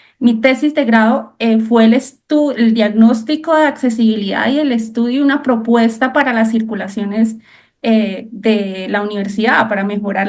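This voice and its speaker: A woman with a Colombian accent talks at a moderate pace with hardly any pauses, her fairly high pitch showing ordinary variation. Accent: Cúcuta (Colombian) accent, noticeable. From Colombia, Cúcuta. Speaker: architect. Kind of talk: interview.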